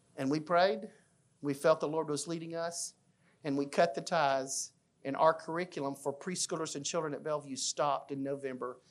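A man with an Alabama accent, fairly high-pitched and fairly even in intonation, at a moderate pace against a quiet background. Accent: Southern US (Alabama). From US South (Fayette, Alabama). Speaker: children's minister. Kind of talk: church class talk.

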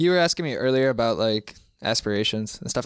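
Over a silent background in a very clean recording, a man talks at a very fast pace with ordinary pitch variation. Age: 20s. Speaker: young working student. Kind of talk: casual chat.

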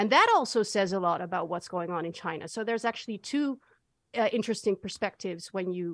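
A woman talks at a fairly quick pace with a Dutch accent. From Netherlands. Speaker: sinologist and social media analyst. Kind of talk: interview.

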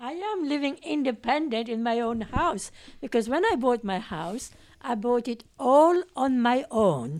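Lively intonation in a French accent. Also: woman, high pitch for a woman, fairly slow pace. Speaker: nurse. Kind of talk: casual group discussion.

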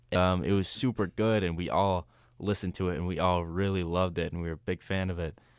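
In a very clean recording with a silent background, a man with an American accent speaks very fast in a very deep, low voice with fairly even intonation. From northeast Ohio. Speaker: hip-hop artist and college student. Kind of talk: casual interview. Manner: halting.

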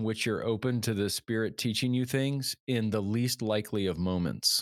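Here a man speaks in an ordinary speaking voice at medium pitch. His pace is moderate and his pitch variation ordinary. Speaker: podcast co-host. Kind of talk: interview conversation.

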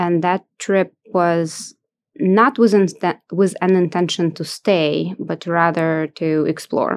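A woman with a Russian accent and fairly low pitch speaks very slowly, in a dry, close sound with no echo. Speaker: sales executive. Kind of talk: interview.

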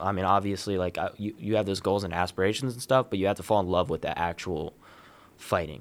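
An American accent with fairly even intonation, in a very clean recording with a silent background. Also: man. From Columbus, Ohio, US Midwest. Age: 20s. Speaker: amateur MMA fighter and former college wrestler. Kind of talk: casual interview.

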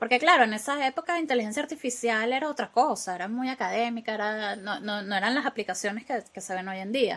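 Talking at a very fast pace with hardly any pauses, a woman uses a fairly high pitch and ordinary pitch variation. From Venezuela. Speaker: AI expert and software developer. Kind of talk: interview.

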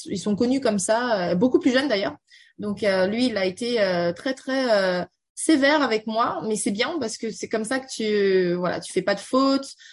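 Somewhat breathy speech at a fairly slow pace, with lively intonation. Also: woman, fairly high pitch for a woman. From Beijing, China (French schooling). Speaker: tech community founder and banker. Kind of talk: radio interview. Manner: halting, many fillers.

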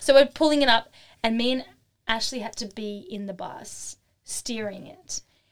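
Loudness swings widely as a woman with an Australian accent and a fairly high pitch speaks in an animated tone with ordinary pitch variation. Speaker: artisan and craft workshop teacher. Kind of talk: casual interview chat. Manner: fast-talking; animated, lots of laughter.

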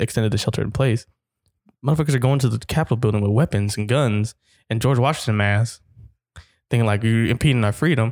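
Talking at a very fast pace, a man with a medium pitch and ordinary pitch variation comes through with a dry, close sound and no echo. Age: 20s. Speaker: podcast co-host, college student. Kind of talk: casual chat.

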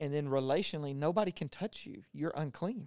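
Here is a man with a normal speaking voice and an American accent, talking at a moderate pace in a fairly high pitch. The sound is dry and close, with no echo. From Louisiana, US South. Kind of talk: casual faith conversation with Bible teaching.

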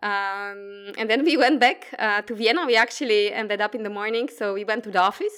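A woman's fairly high voice in a Polish accent, at a fairly quick pace with hardly any pauses. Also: ordinary pitch variation. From Poland. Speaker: quantum physicist. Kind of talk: interview.

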